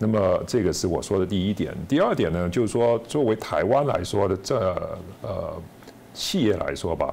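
Moderate pace from a male speaker over light background noise. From China. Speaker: author and former businessman; guest. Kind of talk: interview; interview answer. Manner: halting with repetitions. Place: studio. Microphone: lapel.

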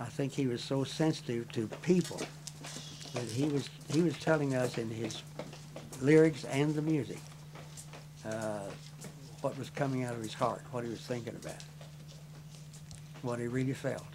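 Amid noticeable background noise, a man speaks at a moderate pace with fairly even intonation and long, frequent pauses. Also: medium pitch for a man. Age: 80s+. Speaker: musician. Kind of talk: interview answer.

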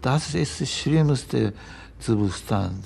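A man with a Japanese accent, a dark, mellow tone, lively intonation and a very slow pace. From Japan, Hiroshima. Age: 80s+. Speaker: retired physical chemistry professor, Hiroshima survivor. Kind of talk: interview answer. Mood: grave, reflective. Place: home room.

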